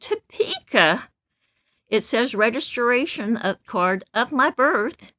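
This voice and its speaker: Very slow and with a Midwestern US accent, the voice has vocal fry and a bright, sharp tone, recorded dry and close with no echo. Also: woman. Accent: US Midwest. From Kansas City, Kansas. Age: 70s. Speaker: vlogger. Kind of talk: casual monologue. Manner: loud; animated.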